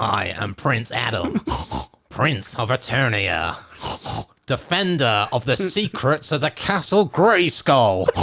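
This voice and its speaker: A man speaks in a put-on character voice at a medium pitch. His pace is fairly slow. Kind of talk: heroic declaration. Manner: oinking, pig-like.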